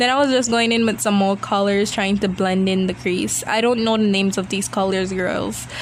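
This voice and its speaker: Amid noticeable background noise and audible room echo, a woman talks at a medium pitch and fairly quick pace with fairly even intonation. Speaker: beauty vlogger. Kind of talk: video voiceover. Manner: casual chatty.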